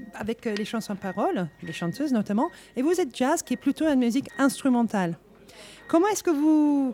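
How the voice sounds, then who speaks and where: With a non-native accent, a woman talks at a moderate pace in a high pitch, with very wide pitch swings. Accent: foreign accent in French. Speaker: radio host. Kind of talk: live radio interview. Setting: live at a jazz club.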